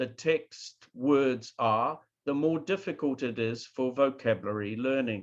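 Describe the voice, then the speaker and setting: With a New Zealand accent, a man talks at a fairly slow pace and hardly pauses. His fairly high pitch carries lively intonation over a quiet background. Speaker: professor. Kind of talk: lecture.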